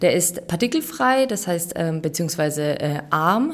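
Moderate pace from a female speaker. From Bavaria. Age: 30s. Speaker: pharmacy technician. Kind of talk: interview. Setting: hospital.

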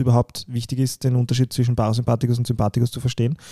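A man talks at a very fast pace in a medium pitch. His tone is dark and mellow, and the sound is dry and close with no echo. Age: 30s. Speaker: podcast co-host, fitness enthusiast. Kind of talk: casual chat. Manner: animated.

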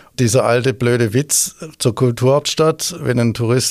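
A man's voice at medium pitch. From Swabia, Stuttgart. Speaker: tourism executive. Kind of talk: interview.

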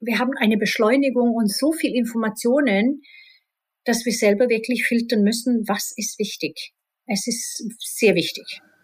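Her fairly high voice carries a Swedish accent, and this woman talks at a moderate pace with ordinary pitch variation. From Sweden, partly Spain. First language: Swedish (speaking German). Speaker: IT executive and rock singer. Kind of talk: interview.

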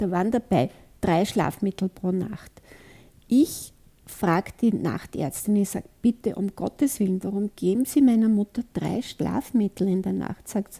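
The voice is somewhat breathy with a dark, mellow tone and ordinary pitch variation. The sound is dry and close with no echo, in a very clean recording with a silent background. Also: woman. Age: old. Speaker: author and kinesiologist. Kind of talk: interview.

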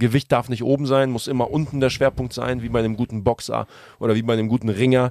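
A man at a very fast pace, monotone and flat, with a dry, close sound and no echo. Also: medium pitch for a man. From Germany, Hamburg. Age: 30s. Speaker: entrepreneur and car enthusiast. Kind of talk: casual chat.

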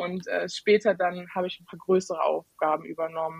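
A woman with an ordinary speaking voice, medium in pitch, in fairly even intonation. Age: 20s. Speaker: IT consultant. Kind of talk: podcast interview.

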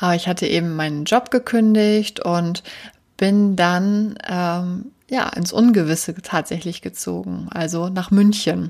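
The woman's voice sits fairly low, and she speaks at a very slow pace. The recording is very clean, with a silent background. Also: ordinary pitch variation. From northern Germany. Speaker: podcast host, home organizing coach. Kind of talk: solo podcast monologue. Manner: many filler words (ähm, äh).

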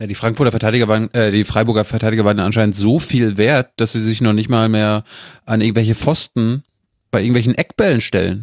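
Very fast male speech at medium pitch, very even in loudness, with a dry, close sound and no echo. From Mecklenburg-Vorpommern, northeast Germany. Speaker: journalist, podcast host as guest. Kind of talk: casual chat.

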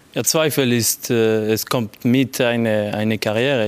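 A man in a French accent, medium pitch, fairly even intonation and a very slow pace. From Geneva, French-speaking Switzerland. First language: French (speaking German). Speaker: football sporting director. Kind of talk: panel interview. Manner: halting.

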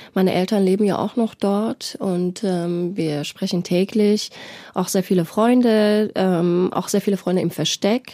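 At a fairly slow pace, a woman speaks with a medium pitch, a dark, mellow tone, fairly even intonation and very even loudness. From Iran. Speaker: journalist. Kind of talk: studio interview. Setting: studio.

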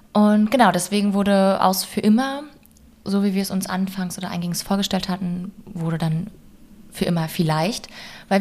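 A woman speaks at a fairly slow pace in an unremarkable speaking voice, her pitch medium and its variation ordinary. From Berlin, Germany. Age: 20s. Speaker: podcast co-host, social worker. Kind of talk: casual chat.

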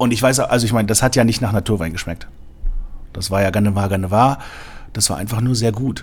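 A man's fairly low voice, fairly even in intonation, at a very fast pace broken by long, frequent pauses. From Germany, Berlin. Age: 40s. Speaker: sommelier. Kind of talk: interview. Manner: hesitant, many fillers.

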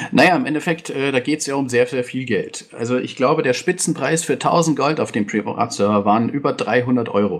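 A man talks with a normal speaking voice at a fairly high pitch. His pace is fairly quick, with hardly any pauses and ordinary pitch variation. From Bavaria, Germany. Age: 20s. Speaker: game server moderator and IT project manager. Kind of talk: podcast interview.

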